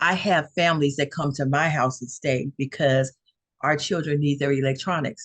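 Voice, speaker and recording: In a Louisiana accent, a woman speaks with a very deep, low pitch. Her pace is moderate and her intonation fairly even. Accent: Southern US (Louisiana). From North Louisiana. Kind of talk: interview testimony.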